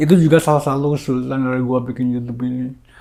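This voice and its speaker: The recording is very clean, with a silent background. A man speaks at medium pitch with a dark, mellow tone and fairly even intonation. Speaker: YouTuber. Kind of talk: casual vlog monologue. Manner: rambling, repetitive.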